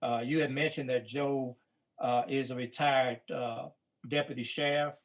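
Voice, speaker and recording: Someone talks at a fairly slow pace with a Mississippi accent. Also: man. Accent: Mississippi Southern US. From US South. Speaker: civil rights veteran and book co-editor. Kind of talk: panel talk. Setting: live-streamed talk.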